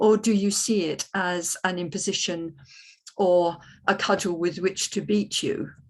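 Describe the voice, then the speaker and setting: Over a quiet background, a woman talks at a fairly slow pace in a medium pitch with fairly even intonation. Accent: British. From Britain. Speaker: economics panel speaker. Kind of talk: panel talk. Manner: hesitant, many ums.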